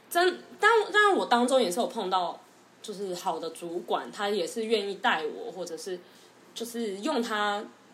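A woman speaks at a fairly slow pace with lively intonation and a medium pitch. She leaves long, frequent pauses, and the room echo is audible. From Taiwan. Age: 20s. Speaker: former marketing worker, future UK grad student. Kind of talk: casual chat.

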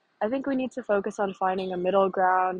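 A woman speaks in a normal speaking voice with an American accent. Her pitch is medium and her intonation fairly even. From North Carolina, US. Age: young. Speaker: college student. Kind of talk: personal reflection.

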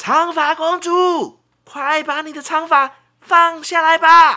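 A woman shouts in a put-on character voice at an extremely high pitch. Her delivery is fairly slow, with monotone, flat intonation. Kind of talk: imitating. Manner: shouting.

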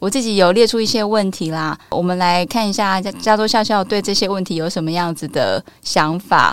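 A woman speaks at a moderate pace in a Taiwanese accent, barely pausing, with ordinary pitch variation. The recording is very clean, with a silent background. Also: medium pitch for a woman. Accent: Taiwanese Mandarin. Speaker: podcast host. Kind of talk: casual chat.

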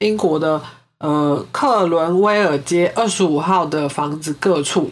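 A woman's very slow speech in a Taiwanese accent, with ordinary pitch variation. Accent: Taiwanese Mandarin. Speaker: podcast host. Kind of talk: true crime storytelling; casual chat.

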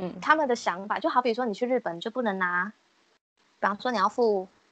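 Here is a normal speaking voice with lively intonation at a fairly quick pace. The sound is dry and close, with no echo. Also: woman. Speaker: customer service agent. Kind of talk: casual chat.

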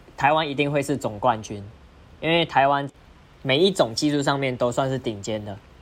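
A man talks at medium pitch, moving at a moderate pace with ordinary pitch variation. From Malaysia. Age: 20s. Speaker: diabolo performer. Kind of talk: casual interview.

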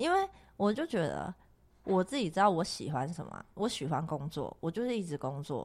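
A woman at fairly low pitch, fairly quick pace and very wide pitch swings, in a very clean recording with a silent background. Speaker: crystal shop owner and podcast host. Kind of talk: casual chat. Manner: loud; talkative, animated.

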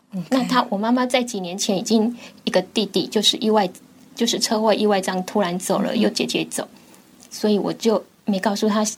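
This woman talks at a fairly quick pace in a somewhat breathy voice. Her pitch is fairly high and her intonation fairly even. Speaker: cancer patient, radio drama student. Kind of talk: interview.

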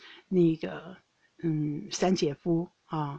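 Her tone is dark and mellow, with a fairly low pitch. The woman's intonation stays monotone and flat. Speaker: podcast host. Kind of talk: casual monologue. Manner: hesitant with many fillers.

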